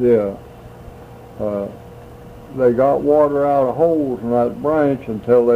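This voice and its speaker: Over noticeable background noise, a man with an American accent speaks at a fairly slow pace with ordinary pitch variation. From US South. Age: 80s+. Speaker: elderly man recalling family history. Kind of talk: oral history interview. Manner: halting.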